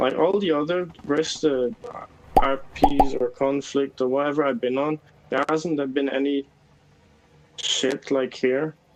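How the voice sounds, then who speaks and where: With noticeable background noise behind him, a man with a fairly high voice speaks with fairly even intonation and long, frequent pauses. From Germany. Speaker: online gamer. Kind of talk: casual chat. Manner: halting.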